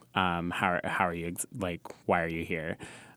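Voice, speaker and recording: With an American accent, a man speaks at a moderate pace in a very deep, low pitch with vocal fry. His tone is bright and sharp, and the recording is very clean with a silent background. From California. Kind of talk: casual chat. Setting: studio.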